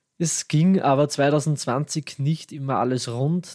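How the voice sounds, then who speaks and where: A man with an Austrian accent talks with fairly even intonation in a dry, close sound with no echo. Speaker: podcast host. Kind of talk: scripted tech news podcast.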